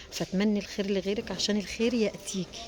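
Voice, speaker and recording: Quiet and at a moderate pace, a woman with an Egyptian accent speaks in monotone, flat intonation over noticeable background noise. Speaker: small business owner selling furniture covers. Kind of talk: casual vlog talk to viewers. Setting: inside a factory. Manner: quiet, lowered voice.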